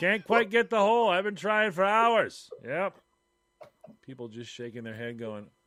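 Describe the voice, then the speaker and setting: High-pitched for a man, this speaker makes very wide pitch swings. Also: moderate pace, big swings in loudness. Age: 50s. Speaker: podcast co-host. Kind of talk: casual chat.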